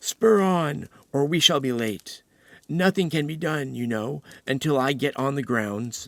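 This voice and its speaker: A put-on character voice at a moderate pace, on a very clean recording with a silent background. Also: man, fairly high pitch for a man, lively intonation. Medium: read story. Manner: solemn.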